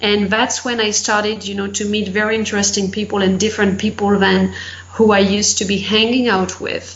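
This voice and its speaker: In a French accent, a woman speaks at a medium pitch with monotone, flat intonation amid audible room echo. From France. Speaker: life and business coach. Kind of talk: interview.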